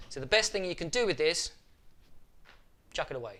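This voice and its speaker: A man's high voice with a bright, sharp tone, a British accent and a fairly quick pace. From UK. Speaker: photography youtuber. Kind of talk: tutorial. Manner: casual, animated.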